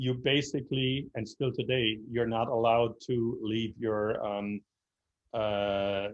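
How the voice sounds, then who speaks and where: A man speaks at a fairly slow pace in a medium pitch with monotone, flat intonation. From Germany, Berlin. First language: German. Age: 60s. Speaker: speaker on history. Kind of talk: lecture Q&A answer. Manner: halting, many fillers.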